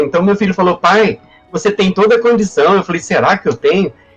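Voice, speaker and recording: Music plays in the background as a man speaks with a high pitch. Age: 60s. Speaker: history professor. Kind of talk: personal testimony in a live panel. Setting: online live stream. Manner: halting, many repetitions and fillers.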